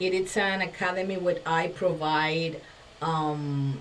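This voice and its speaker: A woman speaks with a Spanish accent. Noticeable background noise and audible room echo fill the recording. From Dominican Republic. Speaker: communication coach and former TV presenter. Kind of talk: podcast interview. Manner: halting, frequent fillers.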